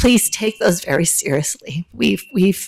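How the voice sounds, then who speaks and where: Somewhat breathy and medium in pitch, a woman speaks at a fairly slow pace in a dry, close sound with no echo. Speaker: public commenter at county meeting. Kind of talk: public comment.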